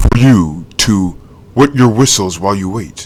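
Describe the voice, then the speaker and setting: A man performs a put-on character voice. It sits at a fairly low pitch and moves at a moderate pace. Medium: read story. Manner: nervous, stammering.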